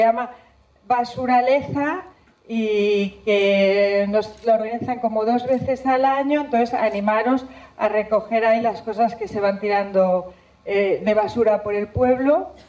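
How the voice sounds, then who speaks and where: Speaking at a fairly slow pace, a woman has a strong Spanish accent and a fairly high pitch. Her tone is dark and mellow, and her intonation fairly even. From Spain, Zamora province. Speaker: environmental scientist giving a talk. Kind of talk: public talk. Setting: stage with audience. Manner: halting.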